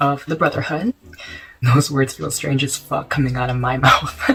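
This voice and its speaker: Noticeable background noise sits under the recording. A man speaks fairly quickly. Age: young. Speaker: college student, fraternity member. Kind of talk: casual storytime talk to camera.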